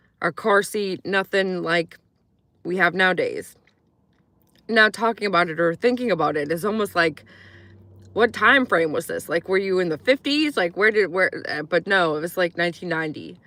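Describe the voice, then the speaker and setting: In a very clean recording with a silent background, a woman speaks at a moderate pace and medium pitch with a bright, sharp tone. Her pitch varies in an ordinary way, and the sound is dry and close with no echo. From Virginia, US, after early childhood in Croatia. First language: Croatian. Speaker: YouTuber / vlogger. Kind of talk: casual chat. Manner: casual, filler-heavy.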